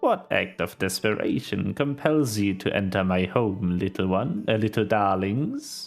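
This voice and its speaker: A man uses a croaky, put-on character voice with hardly any pauses. Faint music plays in the background. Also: fairly low pitch for a man, moderate pace. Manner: menacing, sinister.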